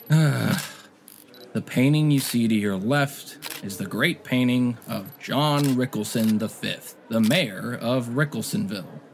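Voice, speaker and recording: Putting on a rumbling character voice, a man speaks at medium pitch and a fairly slow pace with ordinary pitch variation. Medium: audio drama. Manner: sighing, grumbling.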